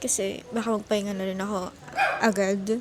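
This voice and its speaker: A woman speaks over noticeable background noise. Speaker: vlogger. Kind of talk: casual vlog talk to camera. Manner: serious-sounding, not lively.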